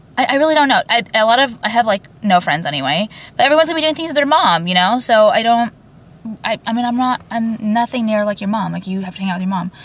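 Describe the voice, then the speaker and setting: Somewhat breathy, a woman speaks at a very fast pace with very wide pitch swings in a dry sound with no echo. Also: fairly high pitch for a woman. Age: 30s. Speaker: YouTuber. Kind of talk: casual rant to camera. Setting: in a car. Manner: rambling, filler-heavy. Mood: chatty, candid rant. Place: car. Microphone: phone near.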